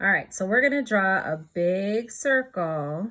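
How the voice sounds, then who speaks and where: At a fairly slow pace, a woman with a normal speaking voice talks at medium pitch with lively intonation. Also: very clean recording, silent background. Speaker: children's art teacher. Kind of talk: tutorial for young children. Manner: gentle, encouraging.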